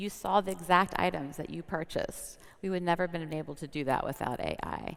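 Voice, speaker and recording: Vocal fry runs through a woman's fairly low voice. She talks at a fairly quick pace with fairly even intonation. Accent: American. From US, Washington DC. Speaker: corporate sustainability executive. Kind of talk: panel interview.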